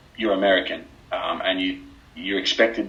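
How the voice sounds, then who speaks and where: Amid noticeable background noise, a man with an Australian accent talks at a moderate pace. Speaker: former basketball player. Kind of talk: podcast interview.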